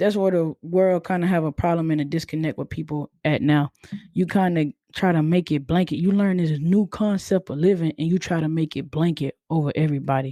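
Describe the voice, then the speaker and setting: Her voice is fairly low in pitch and dark and mellow in tone, and the woman speaks at a fairly quick pace with fairly even intonation in a dry, close sound with no echo. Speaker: podcast host. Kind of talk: casual podcast monologue. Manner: monotone.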